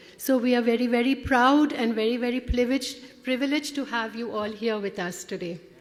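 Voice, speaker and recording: Against noticeable background noise, a woman with a high voice talks at a fairly quick pace with ordinary pitch variation and hardly any pauses. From India (Kolkata). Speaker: conference director. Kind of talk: welcome speech. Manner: halting.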